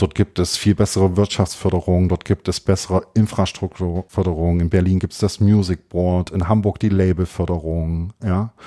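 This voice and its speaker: With hardly any pauses, a man speaks at a moderate pace in a very deep, low pitch, his dark, mellow tone flat and monotone, captured dry and close with no echo on a very clean recording with a silent background. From Thuringia, Jena. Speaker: music booking agency founder. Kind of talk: interview.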